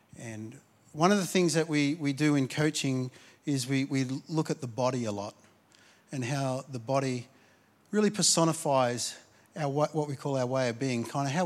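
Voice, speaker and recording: A man with a fairly high pitch and an Australian accent. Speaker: pastor. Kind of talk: sermon. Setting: church. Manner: halting, repeats words.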